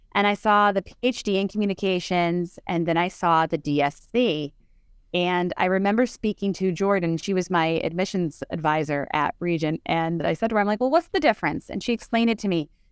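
A woman with an American accent speaks in a plain, everyday voice at medium pitch. The sound is dry and close with no echo, and the recording is very clean with a silent background. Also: ordinary pitch variation, fairly quick pace. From Northeastern Pennsylvania. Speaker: author and historian. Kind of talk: interview.

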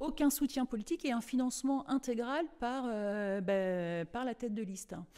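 Speaking at a fairly slow pace with hardly any pauses, the voice has a dark, mellow tone and lively intonation. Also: woman, high pitch for a woman. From France, Cholet (western France). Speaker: local election candidate. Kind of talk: radio interview. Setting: campaign office. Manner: halting, many hesitations.

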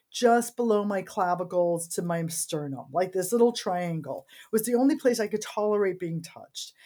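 Her tone is dark and mellow, and her intonation is lively. This woman talks at a fairly quick pace. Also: very clean recording, silent background. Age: 50s. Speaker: medical physician. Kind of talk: casual chat.

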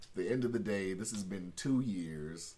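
Very deep, low male voice at a fairly slow pace, with ordinary pitch variation and audible room echo. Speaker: podcast host. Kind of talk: casual chat.

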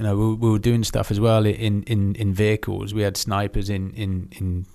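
A man with a southern English accent, fairly low in pitch, with a dark, mellow tone and monotone, flat intonation. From southern England (Aldershot, Hampshire). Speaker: former special forces soldier. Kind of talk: casual interview.

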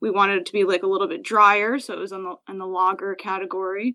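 A woman with an American accent speaks at a fairly quick pace in a bright, sharp tone. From New Jersey, US. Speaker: brewer. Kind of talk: casual interview.

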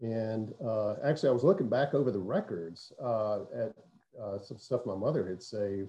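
Somewhat breathy and dark, mellow in tone, a man speaks at a fairly low pitch. He has a Southern US accent and keeps a moderate pace. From US South, south Mississippi (Hattiesburg). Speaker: pastor. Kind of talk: casual interview.

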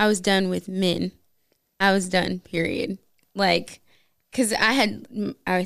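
A woman speaks with an American accent. Her pitch is medium and her pace moderate. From US West, Las Vegas. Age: 20s. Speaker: guest sharing marriage testimony. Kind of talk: testimony.

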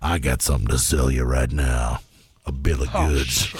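A man's put-on character voice, very deep and low, at a moderate pace, with monotone, flat intonation and very even loudness. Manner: sly, shady.

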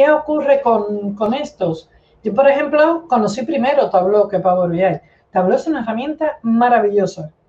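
A woman uses a normal speaking voice at a fairly high pitch, talking at a moderate pace with lively intonation. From Cuba. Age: 50s. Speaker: data analytics expert. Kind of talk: interview.

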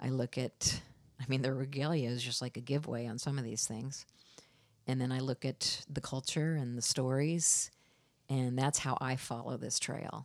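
A woman with an American accent and a very deep, low voice speaks at a moderate pace in a monotone, flat way, in a very clean recording with a silent background. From US Midwest, Iowa. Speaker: artist. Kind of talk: casual interview. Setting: in her studio.

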